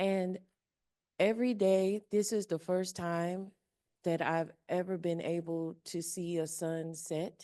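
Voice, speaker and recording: A woman with an American accent speaks at a very slow pace. Her tone is dark and mellow, her intonation monotone and flat. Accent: twang. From Indiana, Kentucky, Ohio region of US Midwest. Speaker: audience member asking a question. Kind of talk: audience question.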